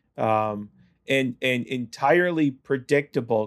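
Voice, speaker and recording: A man with a Canadian accent and a normal speaking voice, medium in pitch, on a very clean recording with a silent background. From Ontario, Canada. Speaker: pastor. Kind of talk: interview conversation. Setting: studio.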